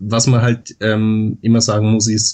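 A man with an Austrian accent, somewhat breathy, fairly low in pitch and very slow in pace. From Austria, Vorarlberg (Dornbirn). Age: 20s. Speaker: Wikipedia author, law student. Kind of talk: interview.

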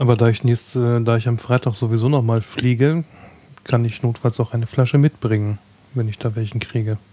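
Speaking at a fairly quick pace, a man uses an unremarkable speaking voice. His pitch is medium and his intonation fairly even. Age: 30s. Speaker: podcast hosting project operator. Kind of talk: casual chat.

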